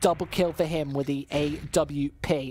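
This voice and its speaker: A woman speaks in a British accent. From England, West Midlands. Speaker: esports commentator. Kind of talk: live commentary.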